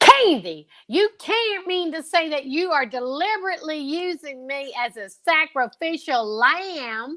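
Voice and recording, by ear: Putting on a character voice, a woman speaks high for a woman in a bright, sharp tone, with lively intonation, a fairly slow pace and few pauses.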